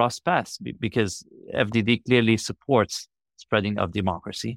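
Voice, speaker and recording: Someone speaks with an Arabic accent. The recording is very clean with a silent background, and the sound is dry and close with no echo. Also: man. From Iraq and Lebanon. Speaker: foreign policy analyst. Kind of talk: interview. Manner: hesitant with fillers.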